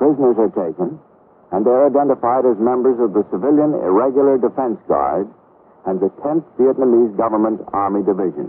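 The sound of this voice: With a slightly husky edge, a man of medium pitch speaks at a fairly quick pace with lively intonation.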